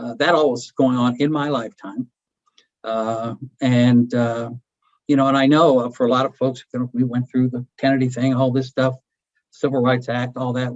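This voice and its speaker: The man's voice sits at a medium pitch. It stays flat and monotone throughout. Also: moderate pace. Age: 70s. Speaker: poverty advocate, former social services director. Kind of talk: lecture. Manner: halting, many fillers.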